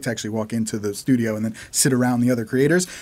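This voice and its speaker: Recorded very cleanly against a silent background, a man speaks. He has an American accent and a very fast pace. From United States. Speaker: animator. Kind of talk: casual interview chat.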